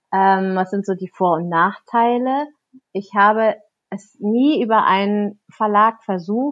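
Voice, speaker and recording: Her pitch varying in an ordinary way, a woman talks at a very slow pace. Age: 30s. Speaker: children's book author. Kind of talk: interview conversation.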